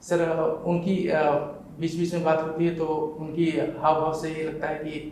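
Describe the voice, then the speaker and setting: A man's fairly high-pitched voice carries audible room echo, with noticeable background noise behind it. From Jharkhand, India. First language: Khortha (speaking Hindi). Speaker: civil service exam candidate. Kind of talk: mock interview. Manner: halting, polite.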